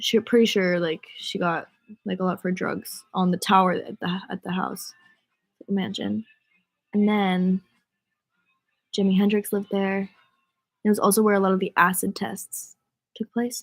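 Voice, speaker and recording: Somewhat breathy and with an American accent, the speaker moves at a moderate pace with long, frequent pauses and fairly even intonation, in a dry, close sound with no echo. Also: woman, medium pitch for a woman. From US Northeast, Rhode Island. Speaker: singer livestreaming to fans. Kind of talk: casual livestream chat. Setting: livestream from bed. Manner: casual, filler-heavy.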